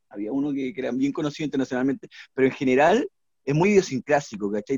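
A man speaks at a very fast pace with a fairly high pitch. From Peru, Lima. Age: 40s. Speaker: singer-songwriter. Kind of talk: casual chat.

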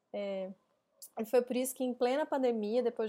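On a very clean recording with a silent background, a woman with a fairly high pitch talks at a moderate pace with fairly even intonation. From Minas Gerais, Brazil (Belo Horizonte). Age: 30s. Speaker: podcast host, co-founder of a gender equality company. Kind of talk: solo podcast monologue.

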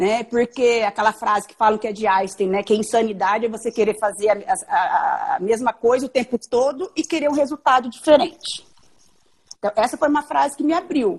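A woman with an ordinary speaking voice talks at a moderate pace and fairly high pitch. Her intonation is lively, with big swings in loudness. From Mato Grosso do Sul, Brazil. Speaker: physician. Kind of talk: casual interview.

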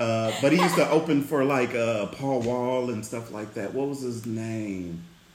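A man speaks with ordinary pitch variation in a room with audible echo and noticeable background noise. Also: medium pitch for a man, moderate pace. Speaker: podcast host. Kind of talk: casual chat.

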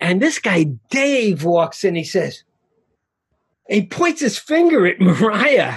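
Speaking in a New York accent at a very slow pace, a man with a high pitch makes very wide pitch swings and takes long, frequent pauses. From Queens, New York. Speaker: film director and author. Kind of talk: casual interview chat.

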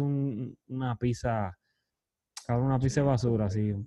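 A man's dark, mellow tone at a fairly slow pace, with a Puerto Rican accent. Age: 30s. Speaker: podcast host. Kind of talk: casual chat.

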